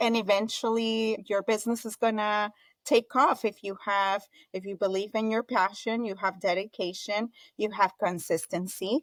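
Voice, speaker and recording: On a very clean recording with a silent background, a woman with a Colombian accent and fairly high pitch sounds dry and close, with no echo. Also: moderate pace. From Colombia (Bogota), moved to Florida at 14. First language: Spanish. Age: 40s. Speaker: entrepreneur, event business founder. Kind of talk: interview. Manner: animated, talkative.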